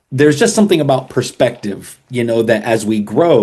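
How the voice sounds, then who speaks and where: A man's dark, mellow tone at a fairly quick pace, with lively intonation. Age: 60s. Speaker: worship pastor and author, life coach. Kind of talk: podcast interview. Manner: casual, with hesitations and restarts.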